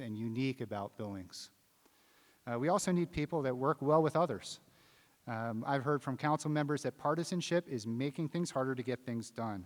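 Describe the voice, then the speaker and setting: A man with an American accent and an ordinary speaking voice talks at a moderate pace in a medium pitch with ordinary pitch variation, in a very clean recording with a silent background and a dry, close sound with no echo. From US Mid-Atlantic, rural Maryland. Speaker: city council candidate. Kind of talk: candidate forum statement. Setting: theater stage with audience.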